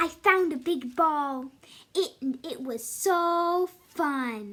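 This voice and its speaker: A woman's cartoonish character voice at an extremely high pitch, delivered at a very slow pace. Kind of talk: puppet story reading.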